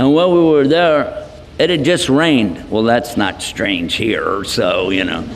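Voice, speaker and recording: A man with an American accent speaks at a moderate pace in a fairly high pitch, his voice swinging very widely up and down. The room echo is audible, and background noise is noticeable. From Texas. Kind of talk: lecture. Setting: hall with audience. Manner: animated.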